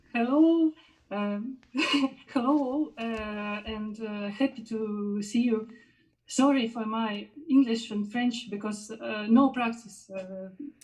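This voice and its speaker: A woman with a Russian accent talks at a very slow pace in a fairly high, somewhat breathy voice with a dark, mellow tone, ordinary pitch variation and big swings in loudness. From Belarus, Minsk. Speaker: musician and jury member. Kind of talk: live interview. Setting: online live stream. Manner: halting, many fillers.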